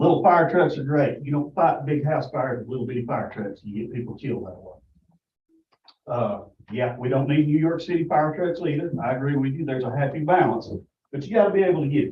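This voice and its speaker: Audible room echo surrounds a man with a fairly high pitch who speaks at a fairly quick pace. His intonation is lively, and his loudness swings a lot. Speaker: public commenter, fire official. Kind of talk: public comment at a government meeting.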